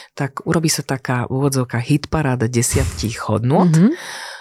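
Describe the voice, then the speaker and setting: In a very clean recording with a silent background and a dry, close sound with no echo, a woman speaks fairly slowly in a very deep, low pitch with lively intonation. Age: 40s. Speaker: executive coach. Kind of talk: interview.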